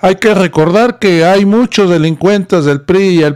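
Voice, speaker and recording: The speech moves at a fairly slow pace, with ordinary pitch variation against a quiet background. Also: man. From Mexico. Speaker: political news commentator. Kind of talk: political commentary. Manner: animated. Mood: critical, indignant. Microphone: studio mic.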